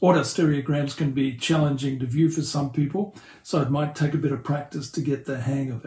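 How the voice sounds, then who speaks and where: A man's somewhat breathy, fairly high voice with a dark, mellow tone, in an Australian accent, fairly quick and with fairly even intonation. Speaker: pastor and hobbyist 3D tutorial maker. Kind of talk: tutorial.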